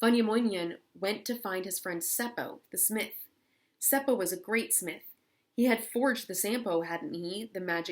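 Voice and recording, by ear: With ordinary pitch variation, a person reads aloud in a natural voice over a quiet background.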